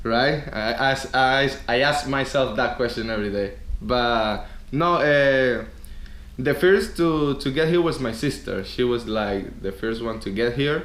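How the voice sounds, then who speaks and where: In a Venezuelan accent, a man speaks at a fairly slow pace amid audible room echo. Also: medium pitch for a man, ordinary pitch variation. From Venezuela, Caracas. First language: Spanish. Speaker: DJ and former radio host. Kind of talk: interview. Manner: hesitant, repeats words.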